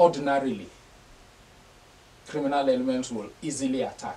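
Fairly high male voice at a fairly slow pace, over light background noise. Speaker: political analyst, TV studio guest. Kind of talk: interview answer on a political topic. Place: studio.

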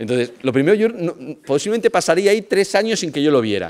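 A man talks at a very fast pace with very wide pitch swings and vocal fry. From Spain, Vigo (Galicia); Galicia, Spain. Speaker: lecturer on family pastoral work. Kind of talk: lecture. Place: hall. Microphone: podium.

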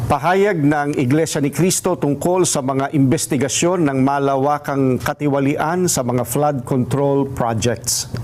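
A man speaks at a fairly slow pace with very even loudness over noticeable background noise. His pitch is fairly high and varies in an ordinary way. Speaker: statement reader. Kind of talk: formal statement reading, rally-style address. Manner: formal, solemn, measured.

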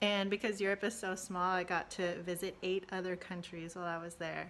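Her voice is bright and sharp at a medium pitch, moving at a fairly quick pace with fairly even intonation. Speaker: college success staff. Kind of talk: personal testimony. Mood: warm, fond recollection. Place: home room. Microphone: phone near.

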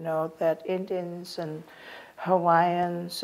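In a monotone, flat delivery, a woman speaks very slowly at a fairly low pitch. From Oregon, Warm Springs reservation. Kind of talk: interview answer. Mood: warm, reflective. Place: home room.

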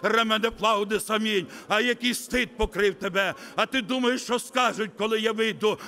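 Projecting a raised voice at a high pitch, a man talks at a moderate pace with fairly even intonation amid noticeable background noise. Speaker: visiting preacher. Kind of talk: sermon. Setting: church.

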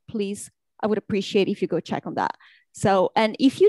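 A woman with an ordinary speaking voice, ordinary pitch variation, and a dry sound with no echo. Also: quiet background. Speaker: university instructor, attendee; webinar presenter, language teacher. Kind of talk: casual chat. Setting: video call. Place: home room. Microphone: webcam.

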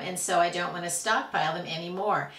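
A woman's voice, bright and sharp in tone, comes with audible room echo. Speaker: prepper food vlogger. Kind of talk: tutorial. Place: home room.

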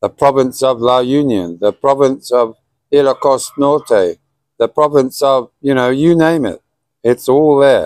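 With a British accent, a man speaks at a fairly slow pace and a fairly high pitch with ordinary variation. The sound is dry with no echo, over a quiet background. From Britain. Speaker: vlogger. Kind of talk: casual monologue to camera. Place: garden. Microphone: phone near.

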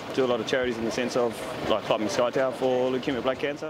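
Noticeable background noise accompanies a man whose voice sounds dry, with no echo. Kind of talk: interview answer. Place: street. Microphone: lapel.

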